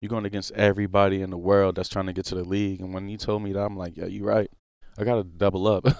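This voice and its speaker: A man speaks very fast with a New Orleans accent. His intonation is monotone and flat. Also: fairly low pitch for a man. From New Orleans, Louisiana. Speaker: pro football player. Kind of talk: casual interview. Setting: studio.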